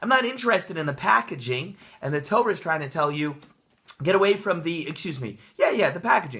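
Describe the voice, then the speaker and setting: Raised and projected, the voice carries an energetic, bright, sharp tone with very wide pitch swings. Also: man. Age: young. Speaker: rabbi, Torah teacher and author. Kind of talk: casual talk to camera, Torah portion commentary. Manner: energetic, conversational, with filler words.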